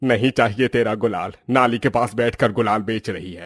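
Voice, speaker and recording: Over music in the background, a man performs a put-on character voice at a medium pitch and moderate pace. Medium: read story.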